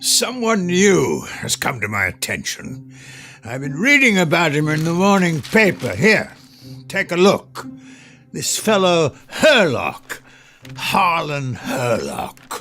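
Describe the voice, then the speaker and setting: Putting on a gruff character voice, a man speaks high in pitch at a fairly slow pace, with very wide pitch swings. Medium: audio drama. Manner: gruff, domineering.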